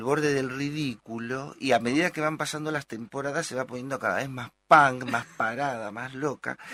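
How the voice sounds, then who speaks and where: A man's bright, sharp tone at a moderate pace, dry and close with no echo, with ordinary pitch variation. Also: very clean recording, silent background. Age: 60s. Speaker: psychoanalyst and actor. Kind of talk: interview.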